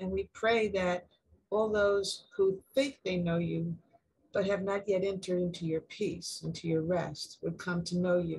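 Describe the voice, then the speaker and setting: A somewhat breathy woman's voice at a fairly slow pace, fairly even in intonation, against a quiet background. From Uganda. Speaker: prayer leader. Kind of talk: fervent prayer. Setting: video call. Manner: earnest. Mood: calm, earnest, reverent. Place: home room. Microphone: video call.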